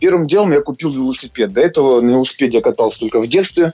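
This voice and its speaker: A man is talking. He goes at a very fast pace. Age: 30s. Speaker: amateur triathlete. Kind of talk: interview. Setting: Skype call.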